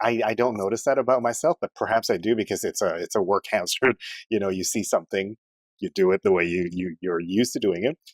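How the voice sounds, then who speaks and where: This man has a fairly low pitch and an ordinary speaking voice. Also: dry, close sound with no echo. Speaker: radio host and TV news anchor. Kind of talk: podcast interview answer. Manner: broadcast-trained, conversational.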